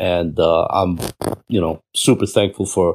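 In a very clean recording with a silent background, a man with a New York accent speaks at a very deep, low pitch with fairly even intonation. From Queens, New York (born in Cuba). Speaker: cybersecurity leader, former DEA. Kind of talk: casual interview chat.

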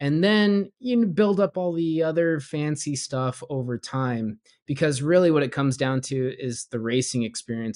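This man has an ordinary speaking voice, fairly high in pitch, with lively intonation at a moderate pace, recorded with a dry, close sound and no echo. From Southern California, US. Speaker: YouTuber and sim racer. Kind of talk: casual interview chat.

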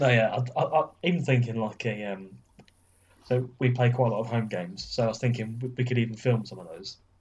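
Speaking at a fairly quick pace with an English accent, a man uses a medium pitch, fairly even intonation and a somewhat breathy delivery. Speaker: podcast co-host. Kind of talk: casual chat.

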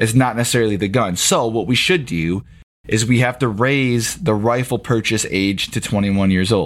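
At a moderate pace and medium pitch, a man speaks in an ordinary speaking voice with ordinary pitch variation. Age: 30s. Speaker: podcast co-host. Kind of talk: casual chat.

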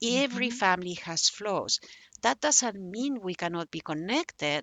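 A woman speaks with a Spanish accent and lively intonation. She keeps a fairly slow pace. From Spain, Barcelona. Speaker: memoirist. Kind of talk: interview.

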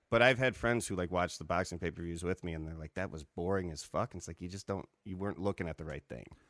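A man talks at a very fast pace with a very deep, low pitch, ordinary pitch variation and hardly any pauses. The recording is very clean with a silent background, and the sound is dry and close with no echo. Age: 30s. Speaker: stand-up comedian and producer. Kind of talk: casual chat over beers. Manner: joking, bantering.

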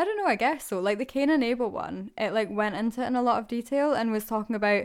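In a Scottish accent, a woman speaks at a very fast pace with a fairly high pitch and ordinary pitch variation, in a very clean recording with a silent background. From Scotland. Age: 20s. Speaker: podcast co-host. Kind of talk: casual chat.

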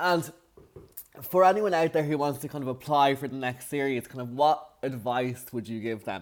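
With an Irish accent, a man speaks at a moderate pace in a fairly high pitch, with ordinary pitch variation and big swings in loudness. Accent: Irish, nasal. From Ireland. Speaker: podcast host. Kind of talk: casual interview.

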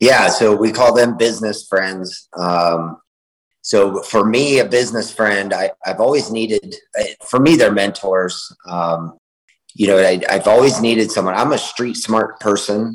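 An ordinary speaking voice from a man, fairly low in pitch, with ordinary pitch variation and a fairly slow pace. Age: 40s. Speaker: author and entrepreneur. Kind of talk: casual interview.

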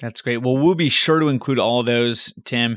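Recorded very cleanly against a silent background, a man with an American accent talks at a fairly quick pace. His medium pitch shows ordinary pitch variation in an ordinary speaking voice. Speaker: podcast co-host interviewer. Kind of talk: casual interview.

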